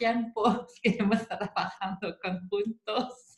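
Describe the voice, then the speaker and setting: A woman with a French accent, very slow and somewhat breathy, her intonation fairly even. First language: French (speaking Spanish). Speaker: psychomotor therapist. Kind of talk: online seminar talk. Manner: halting, repetitive.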